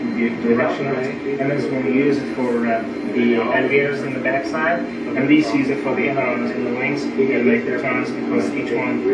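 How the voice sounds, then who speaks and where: Loud background noise surrounds a man speaking at a fairly quick pace. His pitch variation is ordinary. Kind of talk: informal explanation. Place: plane. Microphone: old recording.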